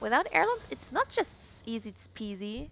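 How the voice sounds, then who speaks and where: Speaking fairly slowly, a woman talks in a non-native accent. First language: not English. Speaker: gaming streamer. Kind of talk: casual live-stream commentary while gaming. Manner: conversational with fillers and self-corrections; tries to speak clearly.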